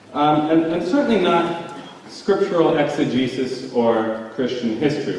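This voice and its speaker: Over noticeable background noise, the speaker's intonation sounds lively. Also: man. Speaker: theologian. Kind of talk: debate rebuttal. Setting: live audience, university hall.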